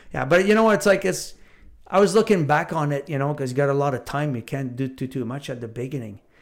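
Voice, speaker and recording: In a very clean recording with a silent background, a man talks at a very fast pace with a fairly high pitch and lively intonation. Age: 60s. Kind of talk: casual chat.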